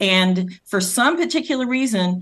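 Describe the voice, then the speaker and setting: A woman speaks with a Rhode Island accent. The background is quiet. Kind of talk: interview.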